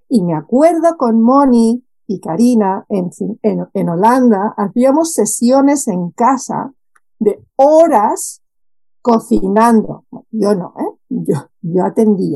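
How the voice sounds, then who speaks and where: Speaking at a very slow pace, a woman uses a fairly high pitch with lively intonation. Her tone is dark and mellow. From Spain, Barcelona. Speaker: expat life coach. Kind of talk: casual interview chat.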